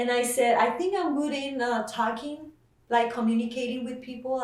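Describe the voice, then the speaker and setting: Someone with a Mexican accent speaks at a moderate pace with ordinary pitch variation, amid audible room echo and noticeable background noise. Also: woman. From Mexico. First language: Spanish. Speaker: nurse. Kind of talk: interview. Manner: hesitant, many fillers.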